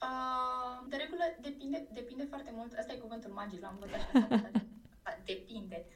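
This woman has an ordinary speaking voice, pitched fairly high. She keeps a moderate pace and fairly even intonation. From Iași, Romania. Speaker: social media specialist. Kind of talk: interview. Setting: remote call.

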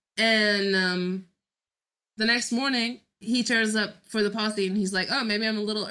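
A woman talks at a moderate pace and a medium pitch. Her tone is bright and sharp. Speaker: podcast co-host. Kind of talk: casual chat recapping a TV episode.

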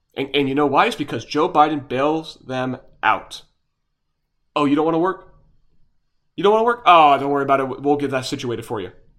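A man with a fairly high pitch and lively intonation talks at a fairly quick pace, broken by long, frequent pauses. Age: young. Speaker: political podcast host. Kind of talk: solo political commentary. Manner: animated.

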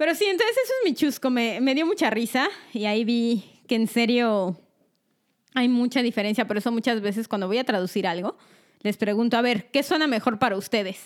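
Fairly high in pitch and fairly quick in pace, a woman talks in a plain, everyday voice. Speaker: podcast co-host. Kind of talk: casual chat.

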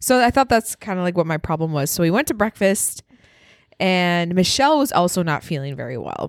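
A woman with an American accent speaks at a fairly quick pace and fairly low pitch with very wide pitch swings, recorded very cleanly against a silent background with a dry, close sound and no echo. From Wisconsin. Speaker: podcast co-host. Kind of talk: casual chat.

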